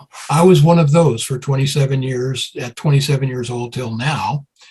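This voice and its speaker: At a moderate pace and medium pitch, a man talks in a somewhat breathy voice with fairly even intonation. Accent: American. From US Northeast, Brooklyn, New York. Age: 70s. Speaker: music promoter and songwriter. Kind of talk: interview.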